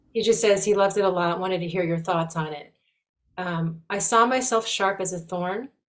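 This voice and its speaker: Using an ordinary speaking voice, a woman talks at a fairly quick pace with medium pitch and ordinary pitch variation. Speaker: call host. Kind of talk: hosting introduction. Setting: video call webinar.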